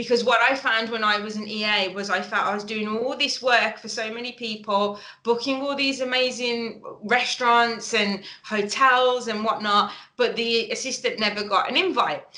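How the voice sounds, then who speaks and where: A woman with a Birmingham accent and fairly high pitch speaks at a moderate pace with fairly even intonation, and the room echo is audible. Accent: Brummie. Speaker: webinar presenter, business founder. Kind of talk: webinar presentation. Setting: online webinar.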